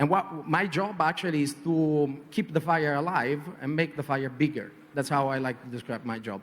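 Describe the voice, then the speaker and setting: This speaker has a strong Italian accent. The delivery is at a moderate pace with ordinary pitch variation. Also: man, fairly high pitch for a man. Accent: heavy Italian. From Italy. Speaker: advertising creative director. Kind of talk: panel discussion. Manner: hesitant, many fillers.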